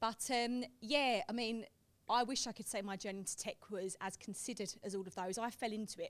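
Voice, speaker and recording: Speaking with a strong Essex accent, a woman sounds animated, her pitch fairly high, with ordinary pitch variation and a fairly quick pace. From England, Essex. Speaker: tech professional. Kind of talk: panel discussion.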